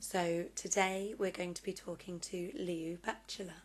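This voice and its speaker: A woman's medium-pitched voice with a southern English accent and fairly even intonation. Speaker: vlogger and interviewer. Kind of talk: vlog introduction and interview.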